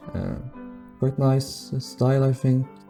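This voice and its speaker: A man talks at a fairly slow pace. Behind him, music can be heard. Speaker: Minecraft builder. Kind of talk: game walkthrough commentary.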